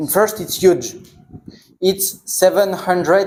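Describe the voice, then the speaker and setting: A man speaks with a French accent. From northern France. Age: 20s. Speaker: traveler. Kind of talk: Q&A conversation with students. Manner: halting non-native speech.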